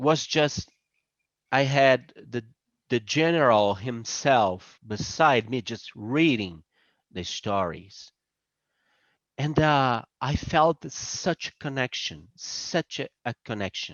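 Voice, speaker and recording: At a very slow pace, the speaker uses lively intonation in a Brazilian Portuguese accent. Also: man, medium pitch for a man. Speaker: presenter on spirituality. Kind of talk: presentation. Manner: halting.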